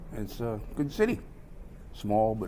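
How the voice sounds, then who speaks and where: A man with a Canadian Prairie accent speaks at a fairly low pitch and a moderate pace. There is audible room echo. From Saskatchewan, Canada (rural). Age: 50s. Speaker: spoken word performer. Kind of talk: casual self-introduction. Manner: halting, with fillers.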